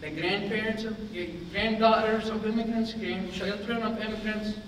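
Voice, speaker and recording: Noticeable background noise and audible room echo surround the recording. A man speaks in a high pitch at a moderate pace. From Lebanon. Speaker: immigration lawyer. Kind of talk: public talk. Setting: meeting room with audience. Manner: animated.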